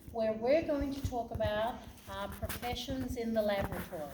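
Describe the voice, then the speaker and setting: A woman's fairly high voice in an Australian accent, with ordinary pitch variation, a moderate pace, audible room echo, and noticeable background noise. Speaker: hospital laboratory director. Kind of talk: presentation to students.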